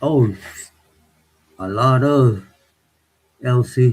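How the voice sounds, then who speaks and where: This man has a somewhat breathy voice at a medium pitch. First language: Spanish. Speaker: livestreamer. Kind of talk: casual live chat reading viewer comments. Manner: relaxed, code-switching Spanish and English.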